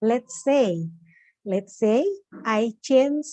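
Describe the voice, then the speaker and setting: Her pace is very slow, her pitch fairly high for a woman. The tone is dark and mellow, with lively intonation. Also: dry, close sound with no echo. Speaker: occupational safety professional. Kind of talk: webinar Q&A answer. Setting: online webinar call. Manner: hesitant, many fillers.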